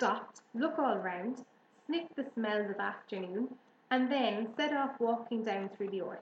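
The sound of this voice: What we hear is an unforced reading voice.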